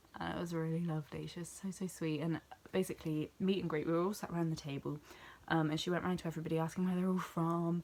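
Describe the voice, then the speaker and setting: With a British accent, a woman of fairly low pitch speaks very fast in a monotone, flat intonation. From southwest England, near Bristol. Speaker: vlogger. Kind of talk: casual vlog recap.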